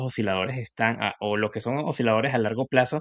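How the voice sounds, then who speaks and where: A man with a Venezuelan accent talks at a fairly quick pace with ordinary pitch variation. The background is quiet, and the sound is dry and close with no echo. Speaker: industrial engineer and investing youtuber. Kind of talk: casual interview.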